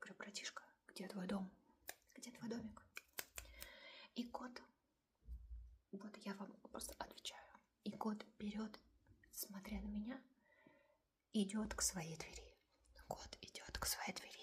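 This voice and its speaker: A soft-spoken woman's whisper with vocal fry, very slow and marked by long, frequent pauses and big swings in loudness. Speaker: ASMR creator. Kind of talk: casual cat storytime. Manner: soft-spoken, whispery.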